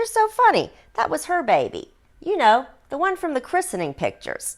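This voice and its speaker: A woman's squeaky, put-on character voice, extremely high in pitch, with very wide pitch swings and a fairly quick pace. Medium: read story. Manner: sugary, sly.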